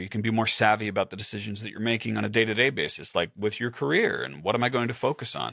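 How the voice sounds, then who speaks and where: A man speaks at medium pitch with vocal fry. The recording is very clean, with a silent background. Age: 40s. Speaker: podcast host, productivity coach. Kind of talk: interview.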